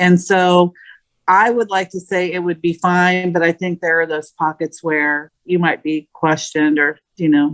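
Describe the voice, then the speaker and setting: An unremarkable speaking voice with an American accent moves at a moderate pace in a dry, close sound with no echo. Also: woman. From Indiana, US Midwest. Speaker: podcast co-host. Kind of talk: casual chat.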